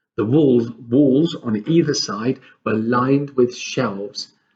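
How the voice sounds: The voice reads naturally, and its pitch moves in an ordinary way.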